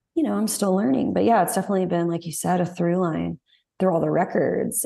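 Over a quiet background, a woman speaks in a dark, mellow tone with vocal fry. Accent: Southern US. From Texas. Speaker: singer-songwriter. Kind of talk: casual interview chat.

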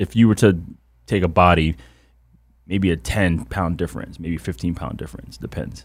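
In a very clean recording with a silent background, a man with a very deep, low pitch and vocal fry talks at a moderate pace with ordinary pitch variation and long, frequent pauses. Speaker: former football player. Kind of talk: casual chat. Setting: studio.

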